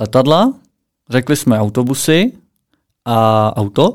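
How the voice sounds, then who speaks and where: A man talks in a calm tone with lively intonation. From Czech Republic, Plzeň. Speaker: podcast co-host. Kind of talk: casual chat.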